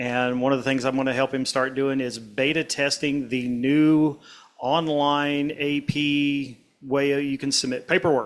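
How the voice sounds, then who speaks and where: Fairly high in pitch, a man talks in a monotone, flat intonation. He keeps a fairly slow pace. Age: 70s. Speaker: model railroad club achievement program coordinator. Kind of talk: club meeting announcements. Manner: casual, halting with many fillers.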